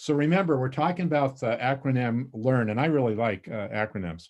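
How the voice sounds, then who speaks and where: A man with an American accent talks at a fairly quick pace. His medium pitch varies in an ordinary way. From northern Montana, US. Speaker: volunteer trainer. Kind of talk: training presentation. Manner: fast; excited, many fillers.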